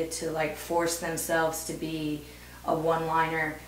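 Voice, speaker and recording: Audible room echo and light background noise surround a woman speaking at a moderate pace and a fairly low pitch in a Midwestern US accent. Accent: General American (Midwestern). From US Midwest, Ohio. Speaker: stand-up comedian. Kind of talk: casual interview. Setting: video interview. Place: home room.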